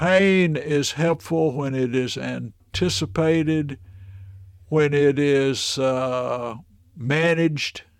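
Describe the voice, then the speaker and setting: In a Tennessee accent, a man speaks at a very slow pace with fairly high pitch and ordinary pitch variation on a very clean recording with a silent background. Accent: Southern US (Tennessee). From Middle Tennessee. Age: 70s. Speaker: minister and ventriloquist. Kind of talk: casual interview storytelling.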